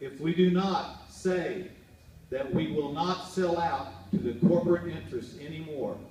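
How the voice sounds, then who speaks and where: There is noticeable background noise and audible room echo as a man with a high pitch speaks at a fairly slow pace, his pitch variation ordinary. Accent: American. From Oklahoma. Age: 60s. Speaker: political candidate. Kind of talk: campaign speech. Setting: fundraiser event with audience. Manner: impassioned.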